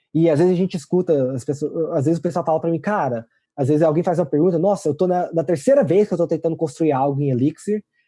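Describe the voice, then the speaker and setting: His pace is very fast, with hardly any pauses, and his pitch variation is ordinary. The man's tone is dark and mellow. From Brazil. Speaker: programming language creator. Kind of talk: interview. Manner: halting.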